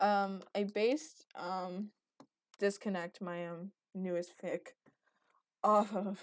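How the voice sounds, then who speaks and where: Speech comes at a very slow pace with fairly even intonation, big swings in loudness, and long, frequent pauses. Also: woman, medium pitch for a woman. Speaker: YouTuber drawing and venting. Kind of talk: casual monologue while drawing. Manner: halting with many fillers.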